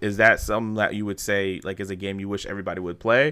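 Talking at a very fast pace, a man comes across with a bright, sharp tone. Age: 30s. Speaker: podcast host. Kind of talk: scripted intro; casual chat.

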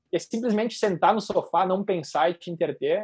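A man with a southern Brazilian accent talks at a fairly quick pace in a high pitch, his intonation lively. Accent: gaúcho Brazilian Portuguese. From southern Brazil, Rio Grande do Sul (Serra Gaúcha). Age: 20s. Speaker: wedding and event photographer. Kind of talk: interview.

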